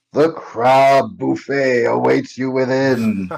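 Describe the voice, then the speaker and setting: A man speaks in a put-on character voice at medium pitch. His pace is very slow. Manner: ghostly.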